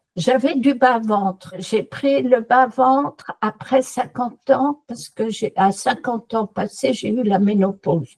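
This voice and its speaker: A woman with a fairly high pitch and ordinary pitch variation talks at a very slow pace with hardly any pauses, sounding dry and close with no echo. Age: 70s. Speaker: customer giving a testimonial. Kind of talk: testimony. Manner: animated.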